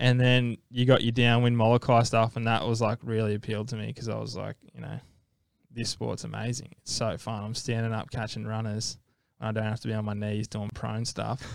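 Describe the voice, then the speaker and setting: Speaking with an Australian accent, a man keeps a medium pitch and a fairly quick pace. His intonation is monotone and flat. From Australia, Gold Coast. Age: 20s. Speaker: professional ocean athlete. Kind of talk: casual interview. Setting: studio.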